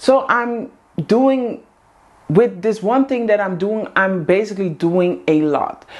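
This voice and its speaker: A woman with a Dutch accent and very wide pitch swings. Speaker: vlogger, housewife community host. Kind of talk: casual monologue to camera. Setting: in front of a camera.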